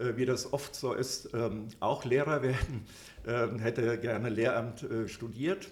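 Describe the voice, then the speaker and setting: A man at a medium pitch, with ordinary pitch variation and a very slow pace. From Upper Hesse, Germany. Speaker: trade magazine publisher. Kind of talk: interview. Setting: hotel recording room. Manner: hesitant, many fillers.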